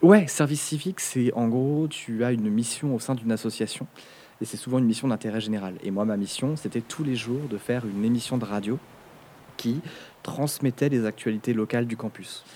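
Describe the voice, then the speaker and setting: Talking at a fairly quick pace, a man has a medium pitch and ordinary pitch variation. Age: 30s. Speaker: media content creator. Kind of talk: casual chat. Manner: halting.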